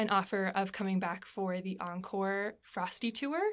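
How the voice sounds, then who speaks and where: The background is silent. A woman talks in an American accent. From Alaska, US. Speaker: stage actor. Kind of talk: interview.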